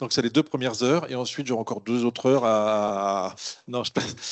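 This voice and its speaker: A man at a fairly quick pace. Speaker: water management consultant. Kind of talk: conference presentation. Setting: conference room with audience. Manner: fast; standing while speaking.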